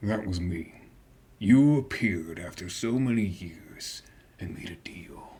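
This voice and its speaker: A man's put-on character voice, fairly low in pitch and at a fairly slow pace. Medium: actual play. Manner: brooding, sardonic.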